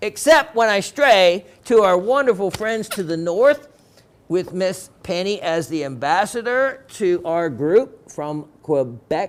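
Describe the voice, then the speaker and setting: Very slowly, a man talks in a high-pitched voice with lively intonation. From Florida. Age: 60s. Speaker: TV shopping host. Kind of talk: sales pitch. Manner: animated.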